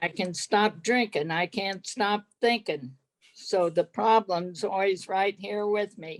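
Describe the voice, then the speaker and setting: The woman speaks at a very slow pace, captured with a dry, close sound that has no echo. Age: 80s+. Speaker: recovering alcoholic, workshop participant. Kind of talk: AA-style share.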